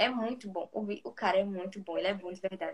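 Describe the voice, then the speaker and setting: Here is a woman with a normal speaking voice at a medium pitch. She speaks at a moderate pace with ordinary pitch variation. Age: 20s. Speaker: psychology student. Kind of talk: casual chat.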